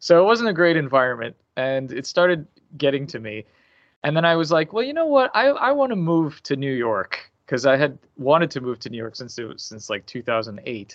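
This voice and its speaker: A man with an American accent talks at a fairly quick pace in an unremarkable speaking voice. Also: fairly high pitch for a man, big swings in loudness. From US, Miami. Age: 40s. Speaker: indie game developer. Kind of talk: interview.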